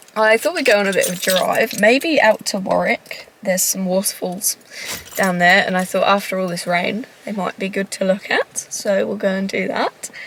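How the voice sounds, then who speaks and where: A woman's medium-pitched voice moves at a moderate pace with ordinary pitch variation while noticeable background noise sits behind it. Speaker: travel vlogger. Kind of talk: casual vlog chat.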